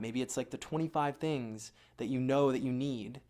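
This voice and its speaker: A plain, everyday voice with ordinary pitch variation moves at a moderate pace in a very clean recording with a silent background. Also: man. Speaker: dating coach. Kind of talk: advice monologue.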